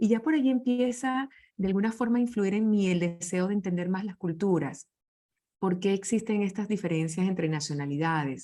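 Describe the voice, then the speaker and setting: On a very clean recording with a silent background, a woman with a dark, mellow tone speaks at a medium pitch with lively intonation. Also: moderate pace. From Venezuela. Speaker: leadership speaker. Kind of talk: interview conversation.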